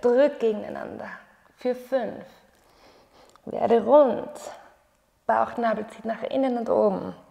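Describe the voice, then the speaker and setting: The background is quiet. A woman talks at a very slow pace. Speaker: yoga teacher. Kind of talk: guided exercise instruction. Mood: calm, encouraging. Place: home room.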